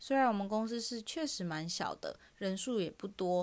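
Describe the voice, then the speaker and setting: Her intonation lively and her pitch medium, a woman speaks at a moderate pace. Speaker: podcast host, recruiter. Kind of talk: casual monologue.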